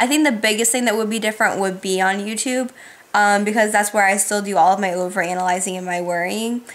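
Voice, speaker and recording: A woman talks very fast at a fairly high pitch. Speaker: YouTuber. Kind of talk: casual Q&A vlog.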